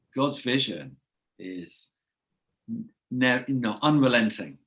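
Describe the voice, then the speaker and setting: A man speaks with an English accent. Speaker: podcast host. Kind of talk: casual chat.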